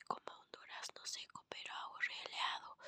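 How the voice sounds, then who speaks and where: Whispering at a very slow pace, a woman is heard in a dry, close sound with no echo. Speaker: ASMR content creator. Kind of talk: ASMR whispered book reading. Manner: whispered, soft.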